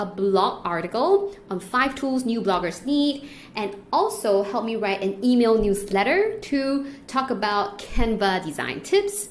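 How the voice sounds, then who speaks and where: Amid noticeable background noise and audible room echo, a woman talks fairly slowly at a fairly high pitch in an animated tone with hardly any pauses. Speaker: online business educator. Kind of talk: screen-share tutorial.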